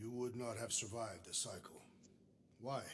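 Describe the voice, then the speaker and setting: In a put-on character voice, a man speaks raspy at medium pitch, moderate pace and fairly even intonation. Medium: video game. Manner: formal, deliberate, unsmiling.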